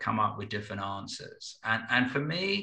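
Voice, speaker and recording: A man's bright, sharp tone carries audible room echo. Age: 60s. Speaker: business consultant and spiritual teacher. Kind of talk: podcast interview. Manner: halting, with repeated words; reflective.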